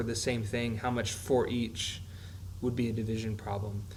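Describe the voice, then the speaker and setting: A man speaks at a medium pitch. Room echo is audible. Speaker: math teacher. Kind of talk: tutorial. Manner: fast.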